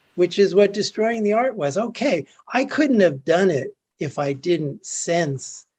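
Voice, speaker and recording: A man speaks with lively intonation. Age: 70s. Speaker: artist and spiritual speaker. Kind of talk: interview at a virtual retreat.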